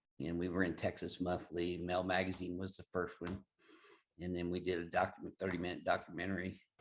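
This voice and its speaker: A man with a Southern accent, very deep and low in pitch, monotone and flat, at a fairly quick pace against a quiet background. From Southern Illinois. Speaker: chiropractor. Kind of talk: interview.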